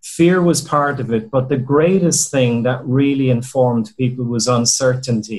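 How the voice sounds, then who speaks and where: A somewhat breathy man's voice with an Irish accent. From Ireland. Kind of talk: group video call discussion. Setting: video call.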